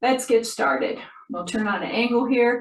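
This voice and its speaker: In a plain, everyday voice, a woman talks at a moderate pace with a fairly high pitch. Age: 60s. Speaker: movement therapist / exercise instructor. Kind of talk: exercise tutorial. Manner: counting aloud rhythmically.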